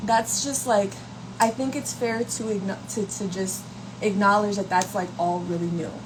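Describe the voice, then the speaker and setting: A woman with an American accent speaks at a moderate pace in a medium pitch, her pitch varying in an ordinary way over noticeable background noise. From New York, Brooklyn. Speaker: content creator. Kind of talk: casual livestream talk. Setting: live stream. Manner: casual, conversational.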